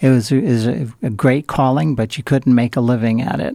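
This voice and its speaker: With an American accent, a man talks at a moderate pace, the sound dry and close with no echo. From Southern California, Pomona Valley. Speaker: entrepreneur. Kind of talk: interview. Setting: radio studio. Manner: hesitant, many fillers.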